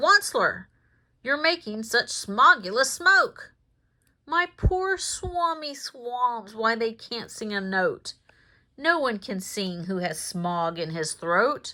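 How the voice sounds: In a put-on character voice, a woman sounds croaky at a high pitch, with very wide pitch swings. She speaks at a fairly slow pace.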